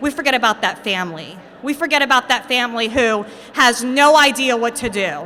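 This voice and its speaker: A woman's loud, high-pitched voice with a passionate tone and lively intonation over noticeable background noise. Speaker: recovery advocate and adjunct lecturer. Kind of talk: rally speech. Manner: loud, passionate.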